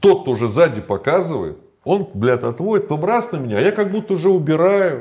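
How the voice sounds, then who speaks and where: A man speaks at a fairly quick pace in a dark, mellow tone with vocal fry. His pitch swings very widely. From Moscow, Russia. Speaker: former prisoner and video blogger. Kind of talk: interview.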